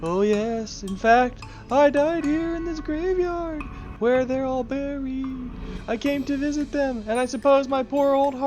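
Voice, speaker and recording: Over clear background music, a woman performs a put-on character voice at a high pitch. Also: moderate pace. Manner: wailing, spooky.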